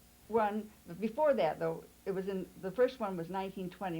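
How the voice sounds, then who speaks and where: A woman with an American accent speaks at a fairly quick pace and medium pitch. Her tone is dark and mellow, with ordinary pitch variation. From California, Santa Barbara. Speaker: congregation elder. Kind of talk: oral history interview.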